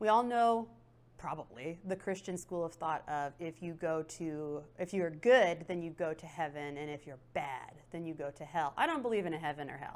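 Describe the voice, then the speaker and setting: An ordinary speaking voice, heard in a very clean recording with a silent background. It moves at a moderate pace with lively intonation. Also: woman. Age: 30s. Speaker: tarot reader. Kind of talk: interview. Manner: casual, conversational with fillers.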